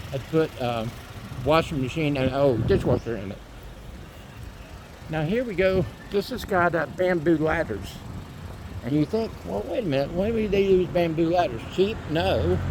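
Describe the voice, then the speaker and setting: The speaker has an American accent, a moderate pace and very wide pitch swings, with long, frequent pauses. Noticeable background noise sits behind the voice. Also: man, fairly high pitch for a man. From Florida, US. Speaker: vlogger. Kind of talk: casual walking vlog narration. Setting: outdoors, walking in neighborhood. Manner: conversational, with fillers.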